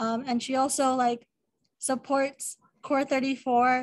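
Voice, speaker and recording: With an American accent, a woman speaks at a high pitch. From San Diego, California; California. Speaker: student club officer. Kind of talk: presentation. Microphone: video call.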